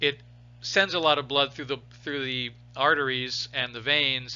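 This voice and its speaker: This is a man with an ordinary speaking voice. He talks at a fairly quick pace with fairly even intonation. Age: 60s. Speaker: biology teacher. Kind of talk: lecture. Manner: casual, with many restarts.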